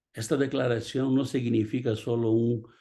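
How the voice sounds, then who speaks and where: A man's dark, mellow voice in a Portuguese accent, over a quiet background. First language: Portuguese (speaking Spanish). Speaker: pastor. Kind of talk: sermon.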